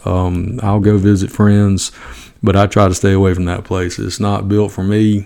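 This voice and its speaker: A man with a strong Southern US accent, fairly low in pitch, dark and mellow, monotone and flat, at a moderate pace. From US South, Georgia. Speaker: high school football coach, podcaster. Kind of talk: casual podcast talk, opinionated. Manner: folksy, humorous.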